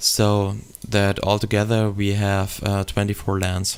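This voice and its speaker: With a German accent, a man speaks at a fairly low pitch. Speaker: gaming YouTuber. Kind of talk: tutorial. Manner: halting, many fillers.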